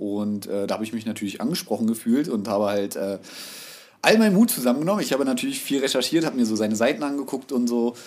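His delivery is very fast. Pauses barely occur as this man speaks. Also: medium pitch for a man, ordinary pitch variation. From Berlin (Hellersdorf). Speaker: tattoo artist. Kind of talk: casual chat.

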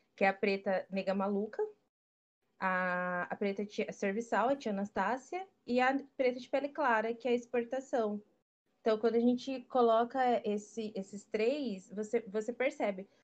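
A woman with a plain, everyday voice speaks at a moderate pace and a fairly high pitch, with ordinary pitch variation over a quiet background. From Brazil, urban periphery. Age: 20s. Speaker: photographer and stylist. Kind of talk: casual chat.

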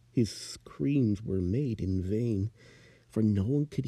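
This is plain reading aloud. The text is read out without anything added.

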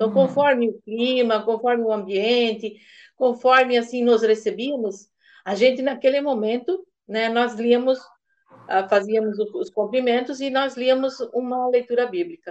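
This woman's voice is high, and its pitch moves in an ordinary way. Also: fairly slow pace. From Santa Catarina, Brazil (Massaranduba). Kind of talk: interview testimony. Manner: halting.

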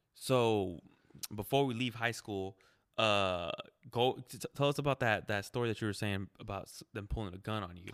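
With an ordinary speaking voice, a man speaks at a moderate pace and fairly low pitch, showing ordinary pitch variation and big swings in loudness. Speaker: podcast host. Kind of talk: casual chat, interview.

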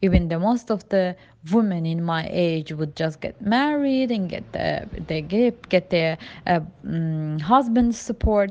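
A woman at medium pitch with a non-native accent, fairly slow, over a quiet background. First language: not English. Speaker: immigrant sharing personal story. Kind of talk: personal testimony. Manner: halting, many fillers.

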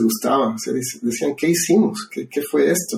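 At a fairly slow pace, a man speaks in a somewhat breathy voice. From Ecuador. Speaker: podcast host. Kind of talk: casual interview about favorite songs.

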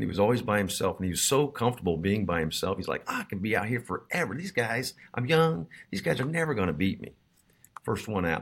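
The pace is very fast. Pitch swings very widely. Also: man, medium pitch for a man. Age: 50s. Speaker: podcast host and store owner. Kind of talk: casual chat.

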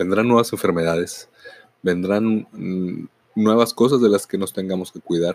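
A man with an ordinary speaking voice talks at a fairly slow pace and a fairly low pitch, his intonation fairly even but his loudness swinging widely. The sound is dry and close, with no echo. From northern Mexico, Mexicali, Baja California. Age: 40s. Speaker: podcaster and teacher. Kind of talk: reflective monologue.

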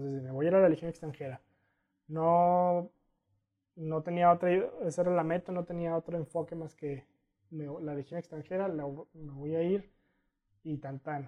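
A man with a Mexican accent, fairly high-pitched and flat in intonation, at a moderate pace with long, frequent pauses. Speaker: adventurer and sociology graduate. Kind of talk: casual interview.

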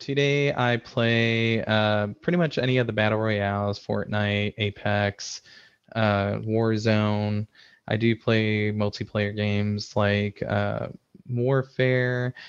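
Against a quiet background, a man speaks very slowly in a fairly low pitch with fairly even intonation and very even loudness. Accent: Midwestern American. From US Midwest, Chicago suburbs. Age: 30s. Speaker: IT system administrator and game streamer. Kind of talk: casual interview. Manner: hesitant, many fillers.

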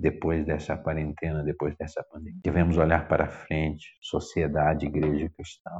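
The voice belongs to a man and sits very deep and low. It stays monotone and flat. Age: 40s. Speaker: pastor. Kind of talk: sermon.

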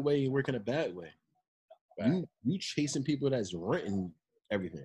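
A man with an American accent talks at a fairly quick pace in a somewhat breathy, dark, mellow tone. His pitch swings very widely, and he takes long, frequent pauses. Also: big swings in loudness. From New Jersey, Monmouth County (Long Branch). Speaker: clothing brand founder. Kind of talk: interview.

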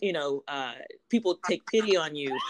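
A woman with an American accent speaks at a moderate pace in a fairly low pitch, with ordinary pitch variation. It is an unremarkable speaking voice, heard with a dry, close sound and no echo. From US South, South Louisiana. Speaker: professor. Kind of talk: interview.

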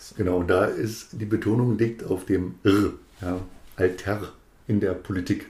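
A somewhat breathy man speaks with a dark, mellow tone at a fairly low pitch, in monotone, flat intonation. His pace is fairly slow, with long, frequent pauses and big swings in loudness. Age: 40s. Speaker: politician, district administrator candidate. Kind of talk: casual chat.

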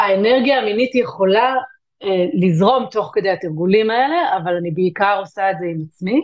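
A woman with an ordinary speaking voice talks at a moderate pace and a medium pitch, with lively intonation. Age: 40s. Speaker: tantra and intimacy coach. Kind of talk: interview.

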